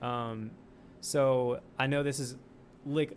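Fairly even intonation in an ordinary speaking voice. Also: man. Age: 20s. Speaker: sketch comedian. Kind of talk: casual chat.

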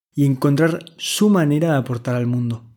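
Fairly high-pitched male speech, a normal speaking voice with ordinary pitch variation, on a very clean recording with a silent background. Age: 20s. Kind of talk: scripted monologue.

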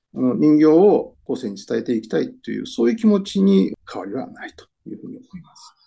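Speaking at a fairly quick pace with hardly any pauses, a man swings widely in loudness. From Aichi, Anjo. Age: 60s. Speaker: newspaper reporter. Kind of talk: interview. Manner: hesitant, many fillers.

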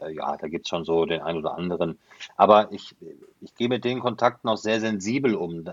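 A man at a moderate pace. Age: 40s. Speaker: football commentator. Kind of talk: casual interview. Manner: halting, many fillers.

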